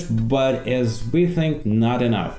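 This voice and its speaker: A man's medium-pitched voice carries lively intonation. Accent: Russian. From Russia. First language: Russian. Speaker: former political journalist. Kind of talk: casual talk to camera.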